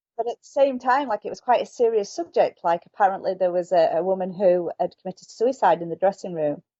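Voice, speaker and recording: A woman with a Yorkshire accent talks very fast at a medium pitch, with hardly any pauses. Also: lively intonation. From northern England, Yorkshire. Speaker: author. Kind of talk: interview.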